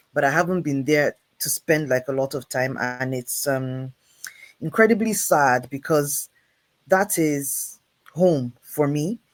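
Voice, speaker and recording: This voice speaks at a fairly slow pace with a northern Nigerian accent. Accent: northern Nigerian twang. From Nigeria, Jos (middle belt). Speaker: creative producer and director. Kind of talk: casual interview.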